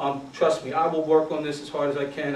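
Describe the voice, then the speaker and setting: A man with an American accent and a fairly high pitch speaks amid noticeable background noise and audible room echo. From Philadelphia. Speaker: youth football coach, retired Marine. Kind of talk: conference talk. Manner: casual, conversational with fillers.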